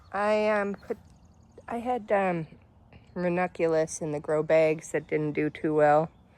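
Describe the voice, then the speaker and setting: A woman with a Canadian accent speaks fairly slowly in a fairly low pitch, with ordinary pitch variation. Her pauses are long and frequent. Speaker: gardening vlogger. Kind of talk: casual garden tour. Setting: outdoors in front yard by busy street.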